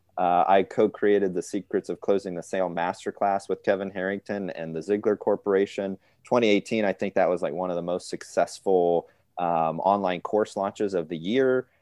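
A man with an American accent, a normal speaking voice, fairly low pitch, fairly even intonation and a fairly quick pace. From US Midwest, northwest Ohio. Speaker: business consultant. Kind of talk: interview.

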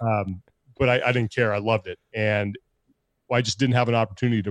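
A man's fairly even intonation comes through with a quiet background. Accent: American. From California. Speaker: sports broadcaster and podcast co-host. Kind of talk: casual interview.

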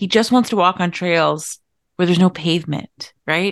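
A normal speaking voice from a woman at medium pitch and a moderate pace, with ordinary pitch variation against a quiet background. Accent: American. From US, Irish American beach town. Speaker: podcast co-host and coach. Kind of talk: casual chat.

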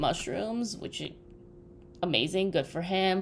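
In an animated tone, a woman speaks at a medium pitch. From Russia. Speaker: podcast co-host. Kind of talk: casual chat.

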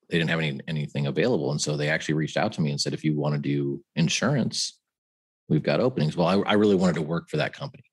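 A man with an American accent, very deep and low in pitch, talking very fast with ordinary pitch variation. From US West Coast, San Francisco Bay Area. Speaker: finance podcast co-host, former banker. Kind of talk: casual chat.

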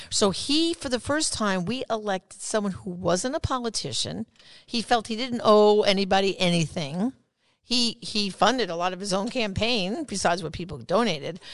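A woman with an American accent and a normal speaking voice talks at a moderate pace and medium pitch. The background is quiet. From New York. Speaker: pro-life activist and author. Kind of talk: interview.

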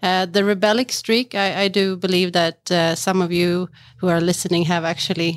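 A woman speaks in a Swedish accent. Her intonation is monotone and flat. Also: very clean recording, silent background. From Sweden, Stockholm. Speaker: marketing executive in geothermal finance. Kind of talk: interview conversation. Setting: conference venue.

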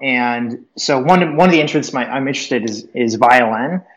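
This man has an unremarkable speaking voice. His intonation is lively. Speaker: startup founder. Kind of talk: casual chat. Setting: remote call from an office.

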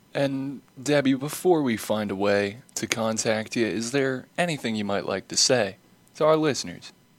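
An unremarkable speaking voice from a man, medium pitch, moderate pace and ordinary pitch variation. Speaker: podcast interviewer. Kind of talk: podcast interview.

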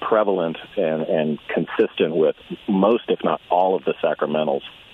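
Noticeable background noise fills the clip. Through it, a man talks at a moderate pace. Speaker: author, convert to Catholicism. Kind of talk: radio interview, conversational. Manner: casual, friendly.

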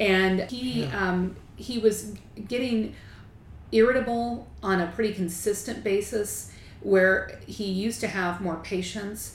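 A woman speaks at a very slow pace with fairly even intonation over noticeable background noise. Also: medium pitch for a woman. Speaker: attorney and spouse. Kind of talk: interview.

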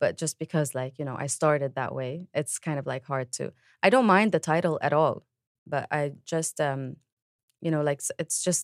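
A woman with a Lebanese accent speaks in a very deep, low voice, the sound dry and close with no echo. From Lebanon. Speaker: singer and musician. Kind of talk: interview.

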